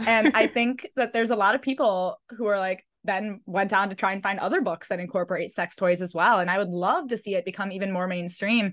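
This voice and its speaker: A woman with an American accent speaks at a fairly quick pace in an ordinary speaking voice, medium in pitch with ordinary pitch variation and hardly any pauses, over a quiet background. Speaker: podcast host. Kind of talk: casual interview chat.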